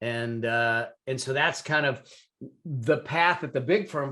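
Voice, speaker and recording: This man has an ordinary speaking voice, set at medium pitch with ordinary pitch variation. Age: 60s. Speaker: CPA and business consultant. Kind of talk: interview storytelling.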